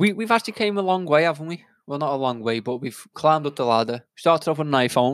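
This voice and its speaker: The speech comes at a very fast pace on a very clean recording with a silent background. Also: man, fairly high pitch for a man. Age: 20s. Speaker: podcast co-host. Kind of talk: casual chat.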